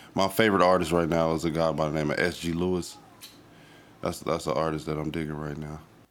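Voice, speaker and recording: A man's very deep, low voice with an American accent, flat and monotone at a very fast pace amid audible room echo. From Dayton, Ohio. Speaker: recording artist. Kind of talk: interview. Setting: studio. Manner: halting.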